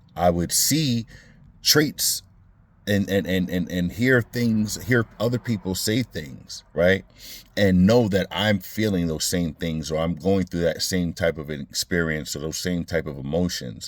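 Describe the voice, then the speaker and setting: A man speaks with an American accent in a very deep, low voice. His intonation is lively. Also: fairly slow pace. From Brooklyn, New York. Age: 40s. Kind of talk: casual talk to camera. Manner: reflective, hesitant.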